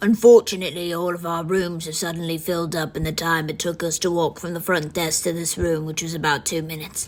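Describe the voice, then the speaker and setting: Using a raspy, put-on character voice, a woman talks at a very fast pace with hardly any pauses. Her fairly low pitch stays monotone and flat. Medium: solo performance.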